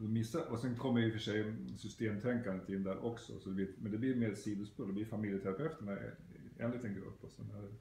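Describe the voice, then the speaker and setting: Over light background noise and audible room echo, a man speaks at a fairly quick pace in a fairly low, dark, mellow, somewhat breathy voice with fairly even intonation. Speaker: psychotherapist. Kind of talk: interviewer questions. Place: home room.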